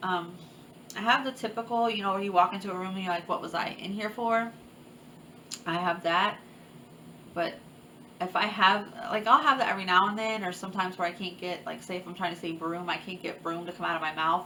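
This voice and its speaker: Over noticeable background noise, someone speaks at a fairly quick pace with ordinary pitch variation, broken by long, frequent pauses. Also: woman, medium pitch for a woman. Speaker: chronic illness vlogger. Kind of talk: personal testimony vlog. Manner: occasional stutter; halting, many fillers.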